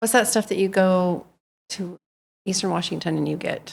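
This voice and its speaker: Her delivery carries vocal fry as the woman speaks at a moderate pace with fairly even intonation. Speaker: historical society board member, newsletter editor. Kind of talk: interviewer questions.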